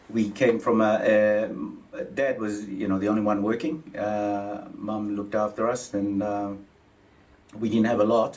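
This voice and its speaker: A man's fairly low, monotone voice at a fairly slow pace, flat in intonation, with audible room echo. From Papua New Guinea. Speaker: mortgage adviser. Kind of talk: interview. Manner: halting, many fillers.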